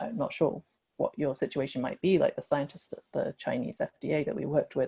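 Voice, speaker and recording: In a European accent, a woman speaks with a very deep, low pitch. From UK. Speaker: industry scientist, webinar presenter. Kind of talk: webinar presentation. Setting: online webinar. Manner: frequent filler 'um'.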